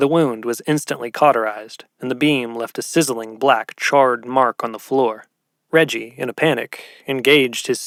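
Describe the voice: The pitch varies in an ordinary way. It is plain reading aloud over a quiet background.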